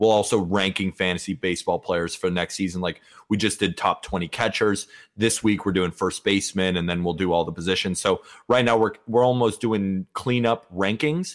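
A man speaks at a fairly quick pace with a fairly low pitch and ordinary pitch variation in a normal speaking voice. The recording is very clean, with a silent background. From California, Santa Barbara. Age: 20s. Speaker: baseball writer and podcaster. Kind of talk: casual interview.

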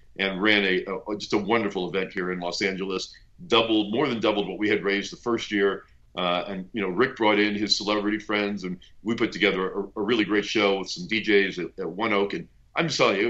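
A man with an American accent talks at a fairly quick pace in an unremarkable speaking voice. His pitch is fairly low and his intonation fairly even. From US West Coast (Bay Area). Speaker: venture capitalist. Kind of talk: interview.

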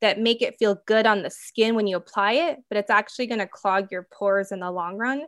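A woman talks at a fairly quick pace with an American accent, fairly high pitch and fairly even intonation. She has an ordinary speaking voice, and the background is quiet. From US Midwest, Minnesota. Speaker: entrepreneur, skincare company founder. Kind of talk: interview.

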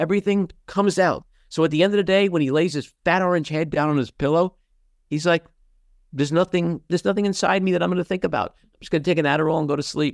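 A high-pitched man with a New York accent talks at a very fast pace with ordinary pitch variation, the sound dry and close with no echo. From New York City (Queens). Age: 60s. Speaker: podcast host and actor. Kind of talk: casual chat. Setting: video call.

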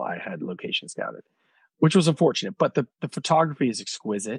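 A man speaks at a very fast pace with very wide pitch swings and vocal fry. The sound is dry and close with no echo, over a quiet background. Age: 40s. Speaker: film director and cookbook co-author. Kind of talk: casual interview chat.

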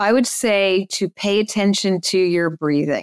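A woman with an American accent has an unremarkable speaking voice at a medium pitch, talking at a fairly slow pace. The recording is very clean with a silent background and a dry, close sound with no echo. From New Jersey. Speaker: agency owner and speaker. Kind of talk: interview conversation.

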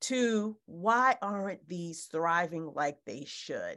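A woman's medium-pitched voice with lively intonation at a very slow pace, against a quiet background. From Haiti. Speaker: author. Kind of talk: interview.

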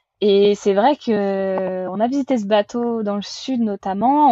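Heard in a dry, close sound with no echo, a woman speaks at a medium pitch with ordinary pitch variation, a dark, mellow tone and a somewhat breathy quality. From western France, Vendée. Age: 20s. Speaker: sailor running a library sailboat project. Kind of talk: casual interview.

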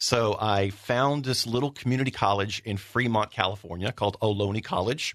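Ordinary pitch variation runs through this clip of a normal speaking voice. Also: man. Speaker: former radio producer, editor and waiter. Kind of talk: casual interview chat. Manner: joking, sarcastic.

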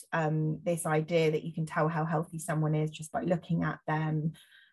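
The speaker has an English accent and a somewhat breathy voice with monotone, flat intonation. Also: woman. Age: 30s. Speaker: journalist and body image campaigner. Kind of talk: interview conversation.

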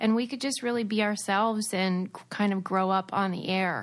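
A woman talks at a moderate pace in an American accent, with a plain, everyday voice. Her pitch is medium with ordinary variation, and the background is quiet. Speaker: former reality TV star and podcaster. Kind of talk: casual interview chat.

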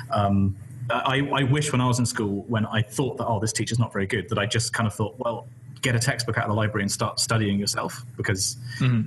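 Talking at a very fast pace, a man sounds somewhat breathy. His pitch is medium and his intonation fairly even. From West Country, England. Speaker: PhD student, YouTuber, stream host. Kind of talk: casual chat, live Q&A.

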